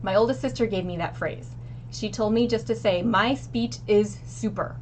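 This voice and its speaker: Against noticeable background noise, a woman with an American accent talks at a moderate pace. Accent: regional pronunciation of egg and measure. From Missouri, US Midwest. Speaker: streamer and stream coach. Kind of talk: casual tutorial. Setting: home living room. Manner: occasional filler words and self-corrections.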